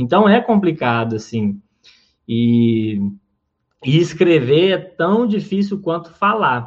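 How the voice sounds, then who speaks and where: Very slow and marked by long, frequent pauses, a man's speech sits at a high pitch. His pitch swings very widely. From Minas Gerais, Brazil (Uberaba). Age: 20s. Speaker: comedian and comedy writer. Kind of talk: interview.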